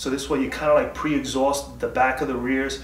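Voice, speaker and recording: Against audible room echo, a man talks at a fairly quick clip with ordinary pitch variation. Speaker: home fitness vlogger. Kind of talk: casual workout tutorial talk. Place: garage. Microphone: camera far.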